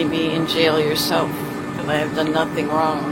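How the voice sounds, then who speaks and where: A woman with a very deep, low pitch speaks over music in the background, with audible room echo. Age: 60s. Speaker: arrested driver. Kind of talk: heated argument with police. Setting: police station parking lot, outdoors.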